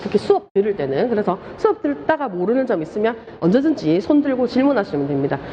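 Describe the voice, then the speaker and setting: A woman's animated, very fast speech with very wide pitch swings over noticeable background noise. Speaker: lecturer. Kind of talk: lecture. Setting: classroom with live students. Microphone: muffled by face mask.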